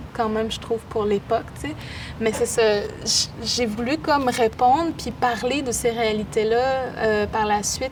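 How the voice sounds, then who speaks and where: Noticeable background noise sits behind a woman's voice. She speaks at a moderate pace with fairly even intonation. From Quebec, Innu community of Pessamit then Baie-Comeau. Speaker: poet and artist. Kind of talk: interview.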